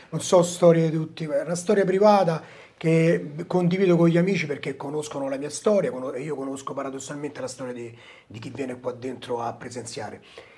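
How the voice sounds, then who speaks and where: At a fairly quick pace, a man talks with lively intonation and big swings in loudness. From Rome (Trastevere), Italy; Italy. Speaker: talk show host. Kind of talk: casual chat. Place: studio.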